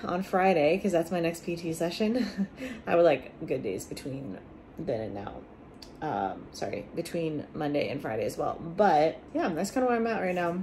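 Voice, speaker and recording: Over light background noise, a woman speaks at a moderate pace and a fairly low pitch. Her pitch swings very widely. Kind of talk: casual vlog chat. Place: home room. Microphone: phone near.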